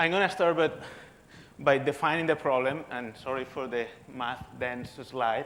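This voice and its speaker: Over audible room echo, a man with a Spanish accent speaks at a medium pitch and fairly slow pace, using ordinary pitch variation. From Spain. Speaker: physicist. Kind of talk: lecture. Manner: halting, many repetitions.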